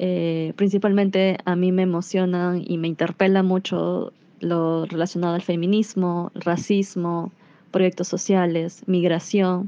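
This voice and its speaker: Fairly slow and fairly low-pitched, a woman speaks. Her intonation is monotone and flat. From Peru, Iquitos (Amazon) then Lima. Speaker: education program coordinator. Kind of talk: recorded voice message answers.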